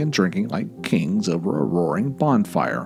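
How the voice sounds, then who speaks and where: A man speaking at a fairly slow pace over music in the background. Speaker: podcast host and storyteller. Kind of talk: folklore storytelling narration. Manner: casual, conversational.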